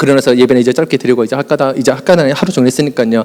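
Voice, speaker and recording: The man here speaks at a medium pitch. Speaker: youth pastor. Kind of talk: conference presentation. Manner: fast; animated.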